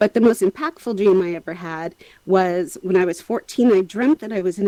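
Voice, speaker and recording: At a fairly quick pace, a woman with a medium pitch and a dark, mellow tone speaks in a dry, close sound with no echo. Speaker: experiential artist and animator. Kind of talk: panel discussion. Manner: fast.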